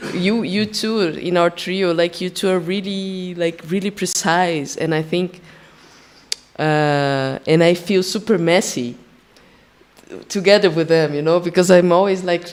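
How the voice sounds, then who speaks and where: Fairly even intonation accompanies a fairly slow delivery. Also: woman, fairly low pitch for a woman. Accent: Brazilian Portuguese. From Brazil, São Paulo. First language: Portuguese. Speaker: percussionist and singer. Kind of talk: panel discussion. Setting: stage with live audience. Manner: halting, many restarts.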